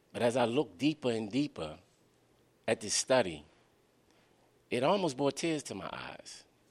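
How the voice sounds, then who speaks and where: A man with an American accent, vocal fry, very wide pitch swings, a moderate pace and long, frequent pauses. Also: medium pitch for a man. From Baltimore, Maryland (West Baltimore). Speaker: author and youth advocate. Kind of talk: book talk to live audience. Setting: library event with audience.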